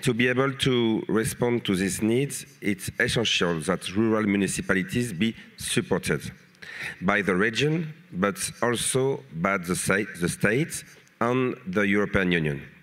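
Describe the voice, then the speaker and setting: A man with a French accent speaks at a fairly slow pace, his intonation lively and his loudness very even. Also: fairly low pitch for a man. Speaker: mayor and politician. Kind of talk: reading a prepared panel statement. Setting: conference panel. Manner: halting.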